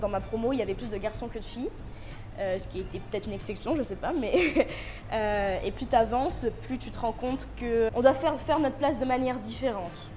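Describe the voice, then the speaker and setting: A woman's fairly high voice at a fairly quick pace, ordinary pitch variation, music in the background. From Réunion. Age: 20s. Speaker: contemporary dancer, student. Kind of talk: interview answer. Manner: hesitant.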